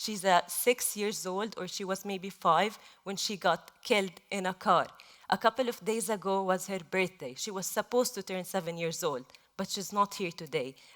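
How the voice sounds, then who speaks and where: On a very clean recording with a silent background, a woman with an Arabic accent speaks at a moderate pace in a medium pitch with ordinary pitch variation. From Gaza, Palestine. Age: 20s. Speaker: journalist. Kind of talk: panel talk.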